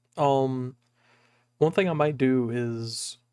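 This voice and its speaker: Soft-spoken and very slow, the voice keeps a fairly even intonation. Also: man. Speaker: streamer. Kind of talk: casual chat. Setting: home recording, thin walls.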